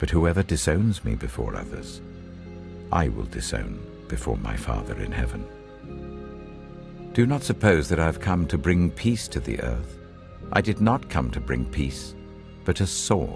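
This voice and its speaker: Music plays in the background. The speaker goes at a fairly slow pace with very wide pitch swings. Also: man, very deep, low pitch for a man. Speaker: narrator. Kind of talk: Bible reading.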